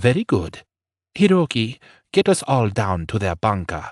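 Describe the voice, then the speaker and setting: Against a quiet background, a man puts on a character voice at a medium pitch. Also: moderate pace. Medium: read story. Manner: cold, controlled, menacing.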